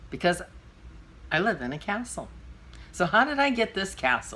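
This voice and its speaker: Her bright, sharp voice swings very widely in pitch, with vocal fry and a moderate pace. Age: 60s. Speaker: vlogger and podcaster. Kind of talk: storytelling monologue. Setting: at home. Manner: casual, with fillers.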